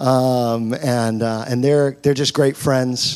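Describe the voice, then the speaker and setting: A man talks in a monotone, flat intonation. Noticeable background noise runs underneath. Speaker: pastor. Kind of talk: sermon introduction and prayer. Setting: church.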